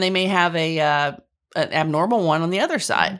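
Speaking at a moderate pace, a woman has an unremarkable speaking voice at medium pitch. The recording is very clean, with a silent background. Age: 50s. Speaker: patient sharing surgery story. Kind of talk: testimony.

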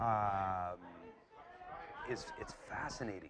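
A man speaks with a Canadian accent at a fairly low pitch and with ordinary pitch variation. Noticeable noise sits in the background. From Canada (Calgary, Alberta). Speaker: graduate student, former fight coach. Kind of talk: casual chat. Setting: pub. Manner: halting, many repeated words.

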